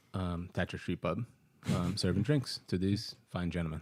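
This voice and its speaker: A man speaks with a Brazilian accent. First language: Portuguese. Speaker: bartender and childcare worker. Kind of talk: casual chat.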